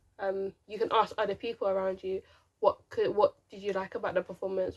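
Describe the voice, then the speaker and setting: A woman mumbles at a fairly quick pace on a very clean recording with a silent background. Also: dry, close sound with no echo. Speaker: YouTuber and teacher. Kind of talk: casual tutorial to camera. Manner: stop-start, some mumbling.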